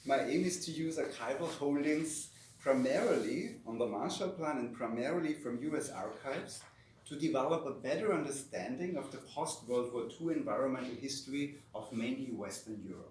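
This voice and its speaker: The speaker has a German accent and keeps a moderate pace, with noticeable background noise and audible room echo. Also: man. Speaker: academic researcher. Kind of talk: lecture. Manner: reading from a script.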